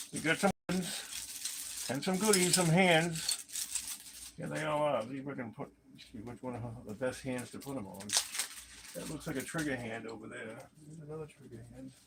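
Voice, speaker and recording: Mumbling at a moderate pace, a man with a fairly high pitch and lively intonation shows big swings in loudness over noticeable background noise. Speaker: toy collector youtuber. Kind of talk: casual unboxing livestream talk. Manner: casual, hesitant.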